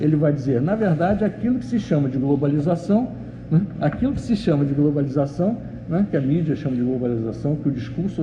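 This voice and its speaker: There is noticeable background noise and audible room echo. A man talks at a fairly quick pace with very wide pitch swings. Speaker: professor. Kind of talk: lecture. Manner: fast; halting.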